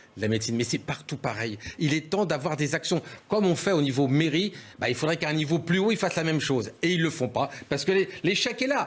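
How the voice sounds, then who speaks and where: At a fairly quick pace, a man talks in a fairly high voice with lively intonation and very even loudness. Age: 60s. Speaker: doctor and local politician. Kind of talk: TV panel debate. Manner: animated.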